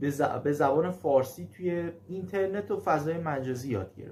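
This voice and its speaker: This man's voice sits fairly high and has a dark, mellow tone. His pitch varies in an ordinary way. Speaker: German language teacher. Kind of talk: casual video talk. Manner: halting, frequent fillers.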